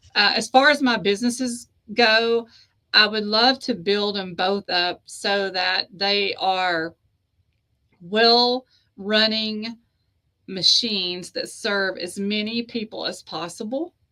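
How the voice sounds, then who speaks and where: Speaking very slowly, a woman talks in a Southern US accent. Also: fairly high pitch for a woman, ordinary pitch variation. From US South (East Tennessee / Georgia). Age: 50s. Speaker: author and publisher. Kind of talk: interview conversation.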